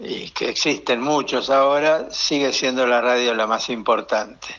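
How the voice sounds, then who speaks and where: Here a man speaks at a very slow pace. His voice is fairly high in pitch. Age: 70s. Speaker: retiree. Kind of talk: interview answers.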